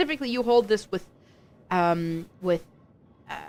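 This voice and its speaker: Speaking at a fairly quick pace with a non-native accent, a woman uses lively intonation and an animated tone. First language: not English. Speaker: esports caster. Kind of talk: live commentary.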